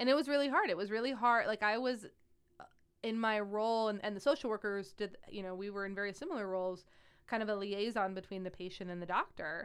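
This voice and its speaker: Talking at a very fast pace, a woman with a Midwestern American accent holds a medium pitch with ordinary pitch variation on a very clean recording with a silent background. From Ohio, near Akron. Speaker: pediatric oncology nurse. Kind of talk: casual chat.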